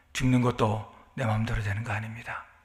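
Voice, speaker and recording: A man with a bright, sharp tone speaks at medium pitch and a moderate pace, with audible room echo around him. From South Korea. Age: 60s. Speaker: pastor. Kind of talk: sermon.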